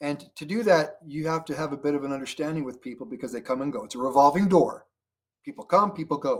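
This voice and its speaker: A man with a fairly high voice talks at a very fast pace with lively intonation. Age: 60s. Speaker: network marketing leader. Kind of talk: interview. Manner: conversational, many fillers.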